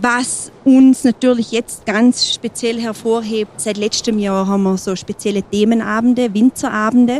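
A woman with an ordinary speaking voice and a fairly high pitch talks fairly slowly with hardly any pauses and fairly even intonation. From Montafon, Vorarlberg, Austria. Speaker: mountain hut landlady. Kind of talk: interview. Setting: mountain hut.

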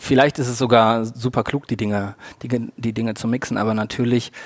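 Speaking at a medium pitch, the man keeps his intonation fairly even. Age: 30s. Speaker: football fan activist. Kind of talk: interview.

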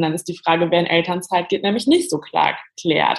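The voice moves at a fairly quick pace with lively intonation. It sounds somewhat breathy. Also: woman. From western Germany, near Cologne. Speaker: journalist and author. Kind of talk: podcast interview.

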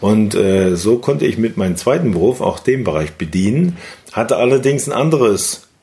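Over noticeable background noise, a man with a medium-pitched voice speaks at a moderate pace, his pitch swinging very widely while his loudness stays very even. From Thuringia, eastern Germany (Weimar). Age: 50s. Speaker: network marketing entrepreneur. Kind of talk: interview.

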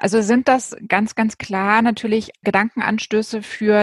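The woman's somewhat breathy voice sits at a fairly high pitch. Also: dry, close sound with no echo. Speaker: podcast host. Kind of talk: interview. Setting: video call.

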